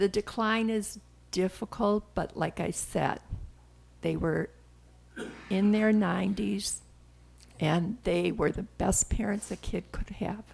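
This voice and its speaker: Long pauses come often as a woman talks. Her delivery is very slow. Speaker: grandmother. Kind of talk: interview answer.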